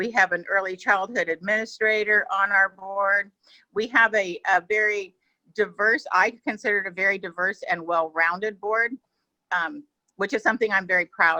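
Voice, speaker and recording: The recording is dry and close, with no echo. A woman speaks at a medium pitch in a bright, sharp tone. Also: ordinary pitch variation, moderate pace. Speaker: board member. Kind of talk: presentation.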